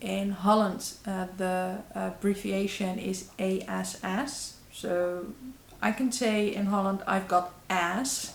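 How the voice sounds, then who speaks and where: In a Dutch accent, a woman with a medium pitch speaks at a very slow pace with fairly even intonation, and audible room echo surrounds her voice. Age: 30s. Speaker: YouTuber. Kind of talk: vlog. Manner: halting.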